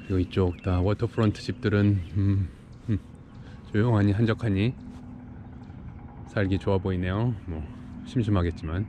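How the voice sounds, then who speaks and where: Moderate pacing broken by long, frequent pauses, in dry sound with no echo and noticeable background noise. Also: man, fairly even intonation. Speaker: vlogger on a work trip. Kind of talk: casual vlog chat. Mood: relaxed, content. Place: waterside. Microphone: phone near.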